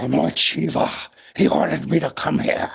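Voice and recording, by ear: A man puts on a raspy character voice, pitched very deep and low, talking at a moderate pace.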